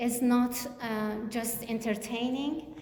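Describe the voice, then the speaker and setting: A woman's high, monotone voice with a non-native accent at a very slow pace, flat in intonation, with audible room echo and noticeable background noise. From Kurdistan region of Iran. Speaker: author. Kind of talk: book event interview. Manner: halting.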